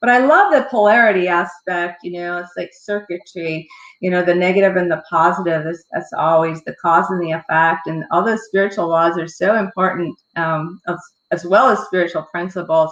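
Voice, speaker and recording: A woman's a normal speaking voice moves at a moderate pace, fairly low in pitch and with ordinary pitch variation. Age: 60s. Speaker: book review show host. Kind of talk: interview.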